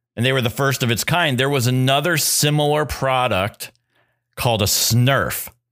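A man talks at a moderate pace in a medium pitch, with ordinary pitch variation. The recording is very clean with a silent background, and his loudness stays very even. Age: 40s. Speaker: podcast co-host. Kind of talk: casual chat. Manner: halting.

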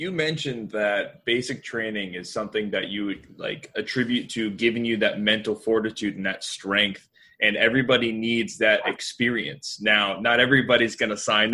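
A man with an American accent speaks at a moderate pace with hardly any pauses, his tone bright and sharp. His pitch sits in the medium range with ordinary variation. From Florida. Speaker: podcast co-host, chiropractic student. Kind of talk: casual interview chat.

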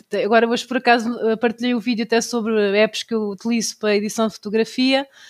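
A woman talks at a very fast pace. The recording is very clean with a silent background, and the sound is dry and close with no echo. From Portugal, Tomar area. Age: 30s. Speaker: instagrammer and cosplayer. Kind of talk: casual chat.

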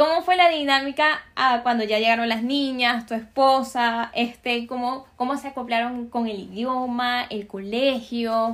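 Through a very clean recording with a silent background, a woman speaks at a high pitch and a fairly slow pace with fairly even intonation. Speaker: podcast host. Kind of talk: interview.

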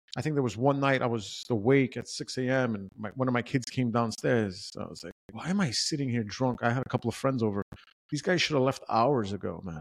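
With a New York accent, a man talks fairly quickly at a medium pitch, his intonation lively. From New York City. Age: 40s. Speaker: podcast co-host. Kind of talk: casual chat.

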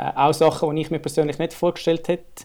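A man's dark, mellow tone with vocal fry. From Switzerland, not Bern. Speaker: startup co-founder, eyewear designer. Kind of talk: casual interview.

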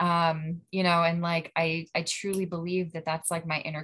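Speaking in a Western Pennsylvania accent, a woman has a very deep, low pitch and a bright, sharp tone. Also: quiet background. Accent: Western Pennsylvania American. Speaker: recovery group member. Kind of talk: casual group discussion.

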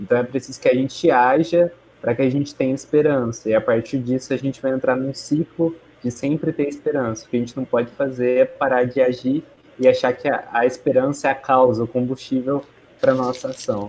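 An unremarkable speaking voice from a man: medium pitch, fairly even intonation, fairly quick pace. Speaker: law researcher, moderator. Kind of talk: casual discussion, online livestream. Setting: live video stream.

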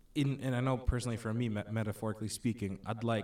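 With fairly even intonation, a man speaks at medium pitch against noticeable background noise. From Philippines. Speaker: podcast co-host. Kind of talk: casual chat. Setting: studio.

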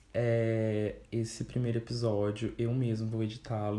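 A dark, mellow tone marks the voice. Some breathiness comes through as well. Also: man. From Brazil, Vale do Paraíba (São Paulo state interior). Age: 20s. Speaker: journalism student podcaster. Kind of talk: solo casual monologue. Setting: at family home. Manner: animated.

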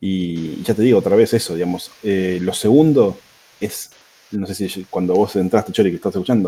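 A man's fairly low-pitched voice with a dark, mellow tone in a Rioplatense accent, at a moderate pace with long, frequent pauses and ordinary pitch variation, on a very clean recording with a silent background. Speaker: podcast guest. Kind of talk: casual chat.

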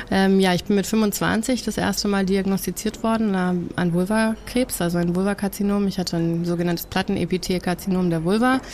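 A woman's medium-pitched voice at a moderate pace, fairly even in intonation and very even in loudness, with hardly any pauses and noticeable background noise. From Germany and the USA. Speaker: cancer activist and author. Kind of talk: casual interview.

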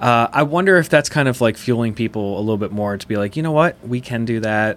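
A man with an American accent has a plain, everyday voice at a medium pitch. He talks at a fairly quick pace with lively intonation. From Pennsylvania, Chester County (West Chester). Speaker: podcast host, real estate. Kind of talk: casual interview.

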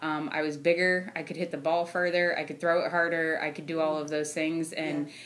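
Over noticeable background noise, a woman with an American accent and a very deep, low pitch talks at a fairly quick pace in a flat monotone, with hardly any pauses. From Ohio, US. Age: 30s. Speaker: sales engineer. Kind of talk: casual interview. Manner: laughs often.

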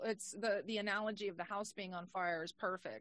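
A woman speaks at a medium pitch in a plain, everyday voice, her intonation fairly even. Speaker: podcast co-host. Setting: video call.

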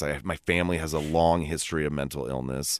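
In a Californian accent, a man talks at a fairly quick pace. His pitch is very deep and low. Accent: Californian American. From US West Coast, California Bay Area. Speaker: recovery guest co-host. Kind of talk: casual chat. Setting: studio.

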